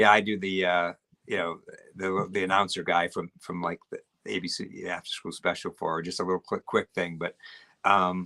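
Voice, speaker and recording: The sound is dry and close, with no echo. A man speaks in a very deep, low pitch with a bright, sharp tone and monotone, flat intonation. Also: moderate pace. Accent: New England. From Maine. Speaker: actor. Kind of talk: casual interview. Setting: live stream.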